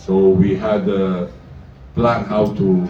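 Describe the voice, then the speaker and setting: A man talks with noticeable background noise and audible room echo. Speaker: basketball coach. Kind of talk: press conference. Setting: press room with microphone. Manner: loud; halting, many fillers.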